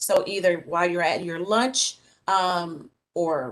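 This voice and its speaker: Medium-pitched woman with a plain, everyday voice and ordinary pitch variation. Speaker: college staff presenter. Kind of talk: presentation at board meeting.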